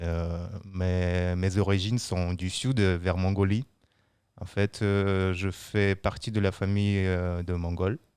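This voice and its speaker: On a very clean recording with a silent background, a man speaks at a very slow pace, very deep and low in pitch, with monotone, flat intonation. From Siberia, Russia (Buryat family). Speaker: brewery quality control worker. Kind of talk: casual chat. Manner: hesitant.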